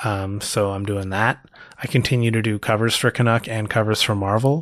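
This unremarkable speaking voice carries a Canadian accent. It moves at a moderate pace with fairly even intonation. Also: man. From Canada, Toronto. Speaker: comic book writer and artist. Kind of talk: casual interview.

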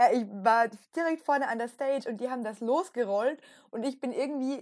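A high-pitched woman's voice with ordinary pitch variation, on a very clean recording with a silent background. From Austria. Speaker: podcast co-host. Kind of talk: casual chat.

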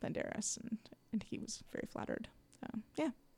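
This woman's voice is somewhat breathy and fairly high-pitched, moving at a fairly quick pace. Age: 40s. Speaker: comedian and storytelling show host. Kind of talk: casual interview.

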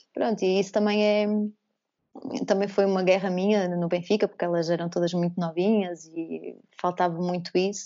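A woman talks at a moderate pace in a medium pitch. Her intonation is monotone and flat. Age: 30s. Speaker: former basketball player. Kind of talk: casual interview.

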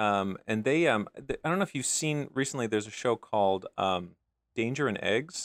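A man with an American accent speaks in an ordinary speaking voice at a moderate pace, with lively intonation. The very clean recording has a silent background and a dry, close sound with no echo. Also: medium pitch for a man. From US Midwest. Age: 40s. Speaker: comic book writer and artist. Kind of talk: casual interview.

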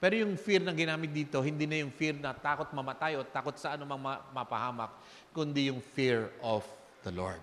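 A man with a fairly high pitch speaks at a fairly quick pace, his intonation lively. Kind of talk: sermon. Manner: animated, rhetorical call-and-response, urging the congregation to say amen.

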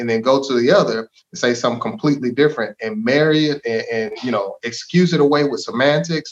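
In a plain, everyday voice, a man speaks fairly quickly. His fairly high pitch shows ordinary variation. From Texas, DeSoto. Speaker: local politician, former school board member. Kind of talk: interview conversation.

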